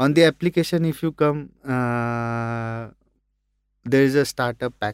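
With an Indian accent, a man speaks at a medium pitch with ordinary pitch variation in a dry, close sound with no echo. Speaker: app founder. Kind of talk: interview. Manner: hesitant, many fillers.

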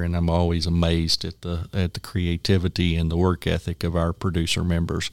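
On a very clean recording with a silent background and a dry, close sound with no echo, a man with a West Texas accent talks at a moderate pace and a very deep, low pitch. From Texas Panhandle, Parmer County. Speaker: agricultural trade group executive. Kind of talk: interview.

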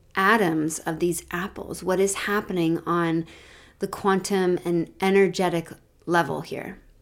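The recording is very clean, with a silent background. A woman speaks at a moderate pace in a monotone, flat way. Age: 40s. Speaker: nurse coach and podcast host. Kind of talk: reflective solo podcast talk. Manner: warm, gentle.

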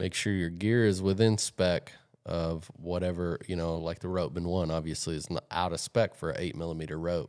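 At a moderate pace, a man with a very deep, low pitch speaks on a very clean recording with a silent background. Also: fairly even intonation.

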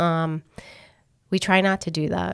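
Moderate pace from a woman with a New England accent, fairly low in pitch, in a monotone, flat delivery, on a very clean recording with a silent background. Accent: Northern (New England). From Massachusetts. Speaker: mortgage underwriting team lead. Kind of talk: casual interview.

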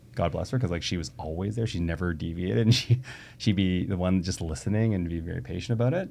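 A man with a Canadian accent, very deep and low in pitch, dark and mellow, with lively intonation at a very fast pace against a quiet background. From Canada (Toronto area). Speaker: tech entrepreneur. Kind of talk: casual interview conversation.

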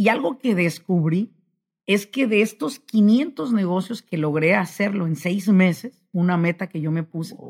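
Somewhat breathy and at a medium pitch, a woman speaks fairly slowly with lively intonation and big swings in loudness. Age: 40s. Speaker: business consultant. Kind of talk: motivational interview talk. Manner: animated.

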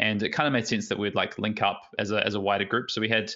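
A man with an Australian accent talks at a fairly quick pace, his fairly low voice held in monotone, flat intonation. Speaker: competitive card game player. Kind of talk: casual interview.

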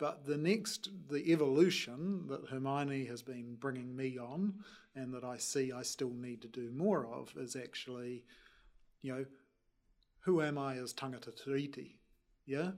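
With a New Zealand accent, a man speaks at a medium pitch and a fairly slow pace, showing ordinary pitch variation and big swings in loudness. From New Zealand, Wellington. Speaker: energy company chief executive. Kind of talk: panel discussion.

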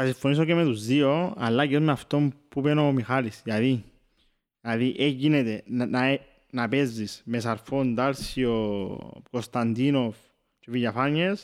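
A man with a Cypriot accent talks at a fairly slow pace and medium pitch with ordinary pitch variation on a very clean recording with a silent background. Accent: Cypriot Greek. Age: 20s. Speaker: football scout and student. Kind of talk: casual chat.

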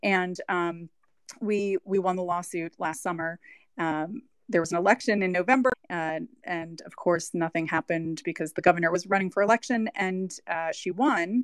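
A woman's normal speaking voice with an American accent, medium pitch and ordinary pitch variation, at a moderate pace, dry and close with no echo over a quiet background. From New York. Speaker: attorney. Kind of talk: panel discussion. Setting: online audio room.

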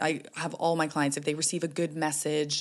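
A woman speaks with a Canadian accent in a very deep, low voice. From Canada. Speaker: life coach and psychotherapist. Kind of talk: interview conversation. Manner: calm, measured.

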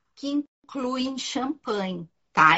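Lively in intonation, a woman speaks at a very slow pace. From Uruguay. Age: 50s. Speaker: wine professional. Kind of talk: casual chat. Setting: video call. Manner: animated.

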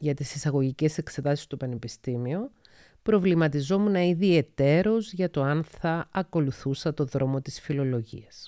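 Very deep and low in pitch, a woman speaks at a fairly slow pace in a dark, mellow tone with ordinary pitch variation, recorded very cleanly with a silent background and a dry, close sound with no echo. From Cyprus (Paphos). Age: 40s. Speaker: psychologist and podcast host. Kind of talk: solo podcast monologue.

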